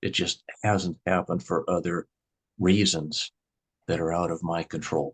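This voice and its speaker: A very deep, low-pitched man with monotone, flat intonation at a moderate pace, the sound dry and close with no echo. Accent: American. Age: 60s. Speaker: grocery store owner. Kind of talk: interview.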